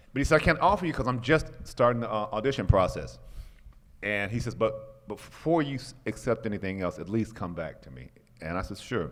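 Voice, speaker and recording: Speaking at a fairly quick pace in an American accent, a man with a medium pitch shows very wide pitch swings and big swings in loudness. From Chicago, US Midwest. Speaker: actor. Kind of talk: interview anecdote. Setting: comic convention panel.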